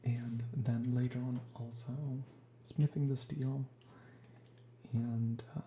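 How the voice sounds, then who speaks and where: A woman speaks at a very slow pace in a very deep, low, somewhat breathy voice. Her tone is dark and mellow, and her intonation fairly even. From Sweden. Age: 20s. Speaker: ASMR youtuber, gamer. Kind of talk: ASMR gaming chat. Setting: sparse, nearly empty room at home. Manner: soft-spoken. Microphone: cheap equipment.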